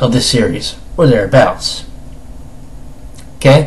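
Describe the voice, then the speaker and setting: A man talks fairly slowly in a somewhat breathy voice, his tone dark and mellow and his pitch varying in an ordinary way. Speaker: anime reviewer. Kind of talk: casual review talk to camera.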